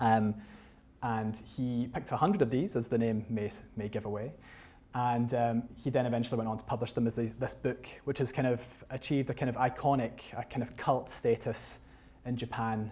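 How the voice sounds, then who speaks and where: A man with a West of Scotland accent speaks at a moderate pace and medium pitch, with a dark, mellow tone and fairly even intonation. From Scotland, North Ayrshire. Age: 30s. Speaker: photographer and author giving a talk. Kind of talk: public lecture with slides. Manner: hesitant, many fillers and restarts.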